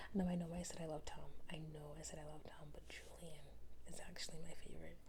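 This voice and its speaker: A woman whispers. Her voice is soft-spoken. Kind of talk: casual talk to camera, book review ramble. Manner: soft-spoken, whispering.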